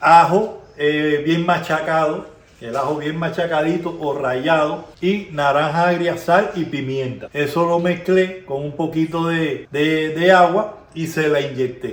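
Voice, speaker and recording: Over noticeable background noise, a man with a Cuban accent speaks very slowly in a high pitch. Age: old. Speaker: home cook. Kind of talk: casual cooking talk to camera.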